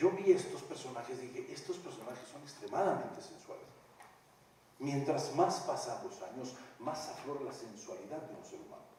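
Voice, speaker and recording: At a moderate pace, a man speaks with big swings in loudness, audible room echo and noticeable background noise. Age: 60s. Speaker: stage actor. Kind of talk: post-show talk with audience. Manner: animated.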